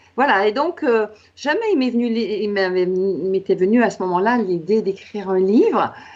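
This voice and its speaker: Speaking at a moderate pace, a woman has a medium pitch. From Quebec. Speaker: author and coach. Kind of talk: interview.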